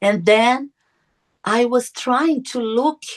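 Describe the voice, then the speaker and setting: A woman with a Portuguese accent speaks in a fairly high voice, the sound dry and close with no echo. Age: 50s. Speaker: near-death experiencer. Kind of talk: testimony. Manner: halting.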